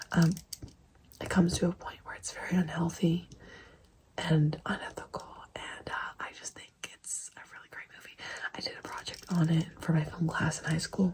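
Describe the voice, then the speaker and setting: The speaker whispers at a moderate pace, with big swings in loudness and long, frequent pauses. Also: woman. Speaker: ASMR creator. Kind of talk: casual chat. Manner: soft-spoken.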